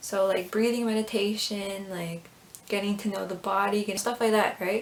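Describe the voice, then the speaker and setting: Noticeable background noise sits under a woman's medium-pitched voice, which has ordinary pitch variation and a moderate pace. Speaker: YouTuber, fan video maker. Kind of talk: casual vlog commentary.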